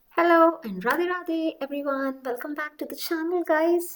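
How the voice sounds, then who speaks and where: This woman has a Delhi accent. Her tone is animated. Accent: Delhi Hindi. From India, Delhi. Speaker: vlogger. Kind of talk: casual vlog talk.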